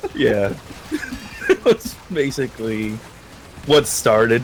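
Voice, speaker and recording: A man speaks at a very slow pace. He leaves long, frequent pauses, with noticeable background noise behind him. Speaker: streamer. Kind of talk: casual interview. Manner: soft-spoken.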